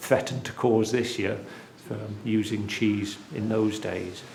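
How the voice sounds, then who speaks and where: A man with a West Country accent, fairly low in pitch, at a fairly slow pace, with audible room echo. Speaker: cheesemaker and dairy farmer. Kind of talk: documentary interview.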